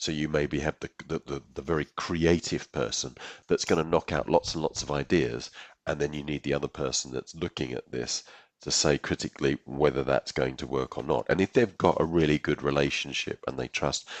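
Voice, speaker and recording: Here is a man with an English accent. His voice sits at a very deep, low pitch and carries vocal fry. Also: fairly even intonation, fairly quick pace. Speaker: software executive, podcast co-host. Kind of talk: casual chat.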